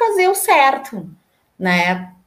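A woman speaks at a very slow pace. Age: 40s. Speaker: environmental sustainability professional. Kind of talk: casual interview. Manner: halting, many fillers.

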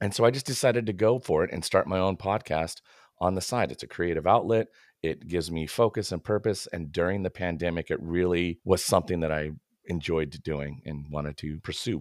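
Dry and close with no echo, a man's very deep, low voice comes through with an American accent. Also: ordinary pitch variation, very clean recording, silent background. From US Pacific Northwest, Washington State. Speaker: marketing consultant and podcast host. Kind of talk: casual interview chat.

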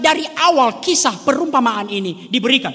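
A man speaks in a raised, projected voice with lively intonation. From rural Indonesia. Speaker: preacher. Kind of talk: sermon.

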